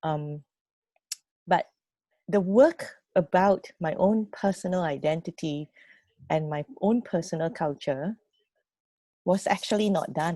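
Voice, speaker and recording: Recorded dry and close with no echo, a woman speaks at a fairly slow pace with long, frequent pauses. Her fairly low voice has a dark, mellow tone. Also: ordinary pitch variation. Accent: Fujianese. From Malaysia (Penang). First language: Hokkien. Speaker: youth programme mentor. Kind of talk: personal story sharing. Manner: halting.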